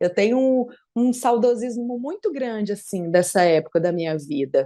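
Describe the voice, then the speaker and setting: This woman's voice is fairly high, with a dark, mellow tone and very wide pitch swings. Her pace is moderate. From Brasília, Brazil. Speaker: politician, police officer and former dancer. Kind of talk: podcast interview.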